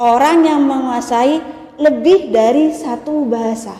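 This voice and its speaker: Noticeable background noise and audible room echo surround a woman's voice. She speaks at a high pitch with fairly even intonation. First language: Madurese (speaking Indonesian). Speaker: university lecturer. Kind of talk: lecture.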